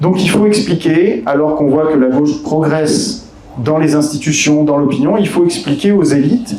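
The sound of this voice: A man's dark, mellow voice with a fairly high pitch and lively intonation, with audible room echo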